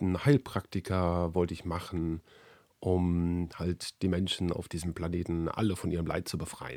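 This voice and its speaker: This man's voice is very deep and low. Its tone is dark and mellow. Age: 40s. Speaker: podcast host and sales professional. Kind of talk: podcast monologue. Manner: hesitant with fillers.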